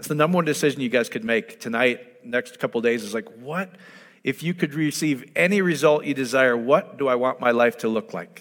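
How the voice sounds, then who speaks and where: With fairly high pitch and lively intonation, a man talks at a fairly quick pace in an unremarkable speaking voice. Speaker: preacher. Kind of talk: sermon. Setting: church with audience and online viewers.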